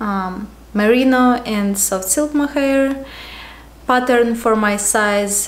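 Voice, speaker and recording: With a Ukrainian accent, a woman speaks at a fairly high pitch with ordinary pitch variation. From Ukraine. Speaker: knitting podcaster. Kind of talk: casual show-and-tell vlog. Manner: casual with filler words.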